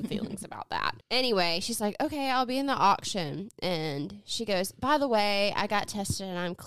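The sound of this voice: Lively intonation in an unforced reading voice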